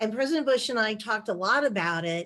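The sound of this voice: A woman's fairly high pitch with a fairly bright tone and ordinary pitch variation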